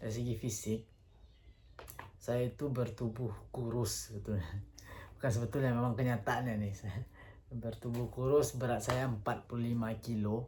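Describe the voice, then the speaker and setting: A somewhat breathy voice with a dark, mellow tone speaks at a moderate pace in a flat, monotone delivery. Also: man, medium pitch for a man. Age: 30s. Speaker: vlogger. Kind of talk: casual monologue. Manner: hesitant, with fillers.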